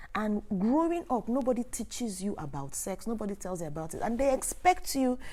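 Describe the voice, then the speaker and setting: Speaking with a Nigerian accent, a woman uses lively intonation and a dark, mellow tone. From Nigeria, Imo State (Igbo). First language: Igbo. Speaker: sex educator and online creator. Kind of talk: live Q&A stream. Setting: livestream on camera.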